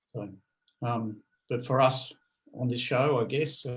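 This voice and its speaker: This man's voice is somewhat breathy and sits at a medium pitch. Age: 60s. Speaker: podcast co-host. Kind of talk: casual chat.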